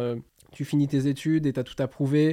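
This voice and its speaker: A man's fairly high, dark and mellow voice at a fairly quick pace, flat and monotone, over a quiet background. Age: 30s. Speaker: youtuber and podcast host. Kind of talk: casual chat.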